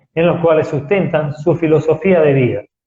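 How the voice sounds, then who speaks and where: A soft-spoken man's fairly high voice. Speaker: spiritual talk show host. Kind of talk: lecture. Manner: slow.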